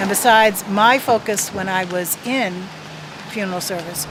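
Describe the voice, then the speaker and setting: Audible room echo and noticeable background noise surround the recording. A woman speaks with fairly even intonation. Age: 60s. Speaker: former funeral director. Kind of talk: radio interview.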